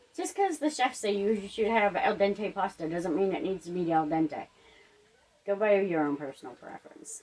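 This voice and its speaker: A woman speaks at a medium pitch and a moderate pace, with very wide pitch swings. Noticeable background noise runs underneath. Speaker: home cook. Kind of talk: cooking tutorial. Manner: loud; casual, with many fillers. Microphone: microphone cut out, sound may be poor.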